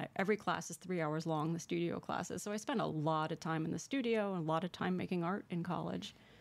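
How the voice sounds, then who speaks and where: A woman's fairly low voice with an American accent, very fast with hardly any pauses and ordinary pitch variation. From Connecticut. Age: 50s. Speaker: painter; interviewee. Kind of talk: interview. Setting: studio.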